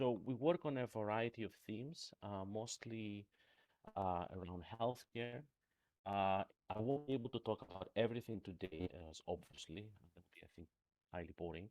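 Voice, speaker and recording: With a Greek accent, a man with a fairly low pitch talks at a moderate pace with lively intonation and big swings in loudness, the sound dry and close with no echo. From Greece. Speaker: professor. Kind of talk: lecture. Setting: remote talk. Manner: halting, many fillers.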